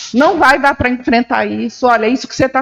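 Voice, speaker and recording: Lively intonation from a woman with a fairly high-pitched voice. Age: 60s. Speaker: journalist. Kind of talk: panel discussion. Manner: intense, emphatic.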